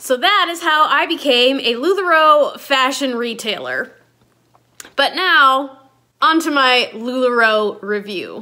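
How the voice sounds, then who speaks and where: A woman projects a raised voice in a high pitch, very slowly, with lively intonation. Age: 30s. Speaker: fashion consultant. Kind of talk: casual talk to camera.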